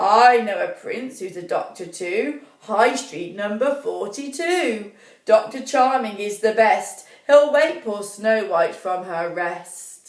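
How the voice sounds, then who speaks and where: A woman's put-on character voice, fairly high in pitch, at a fairly slow pace with slight echo. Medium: read story. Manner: rhyming, sing-song.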